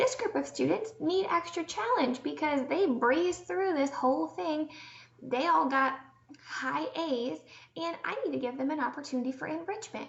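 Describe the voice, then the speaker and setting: A woman speaks at a moderate pace with a high pitch and very wide pitch swings. Noticeable background noise runs underneath. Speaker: teacher education tutor. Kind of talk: tutorial. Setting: screen-share recording. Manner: casual, filler words.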